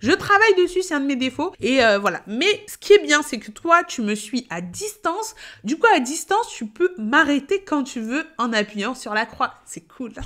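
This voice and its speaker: The voice is animated and bright, sharp in tone, with very wide pitch swings and big swings in loudness. It moves at a fairly slow pace with hardly any pauses. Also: woman, high pitch for a woman. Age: 30s. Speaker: payroll educator and content creator. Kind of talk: casual vlog monologue.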